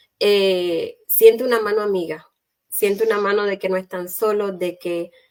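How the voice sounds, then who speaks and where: Speaking at a fairly slow pace, a woman uses an ordinary speaking voice at medium pitch with fairly even intonation. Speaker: talk show host. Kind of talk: live online chat.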